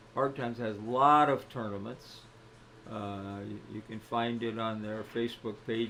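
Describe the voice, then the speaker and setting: Audible room echo around a man's medium-pitched voice at a moderate pace, with fairly even intonation. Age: 80s+. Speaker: pool commentator. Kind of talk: live commentary. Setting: pool hall. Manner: loud.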